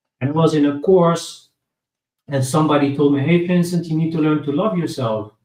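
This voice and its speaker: The man's voice comes across as somewhat breathy. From Netherlands. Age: 30s. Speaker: guest speaking about recovery from addiction. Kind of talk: interview. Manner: halting.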